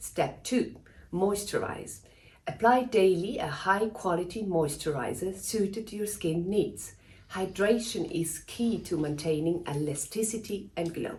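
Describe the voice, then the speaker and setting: Fairly slow speech from a woman, with audible room echo. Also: medium pitch for a woman, ordinary pitch variation. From Switzerland. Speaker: dermatologist. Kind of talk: scripted tutorial. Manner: formal.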